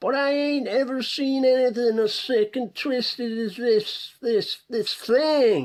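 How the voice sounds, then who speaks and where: A put-on character voice, shaky and fairly high in pitch, moves at a fairly slow pace with hardly any pauses. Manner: disgusted, shaken.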